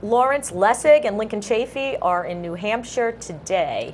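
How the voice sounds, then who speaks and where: The speaker talks at a fairly slow pace with lively intonation. The background is quiet. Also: woman. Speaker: local access TV co-host. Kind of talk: casual talk show chat. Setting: TV studio. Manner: loud.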